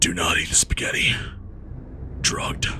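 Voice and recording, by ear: A man's put-on character voice at a moderate pace, against loud background noise.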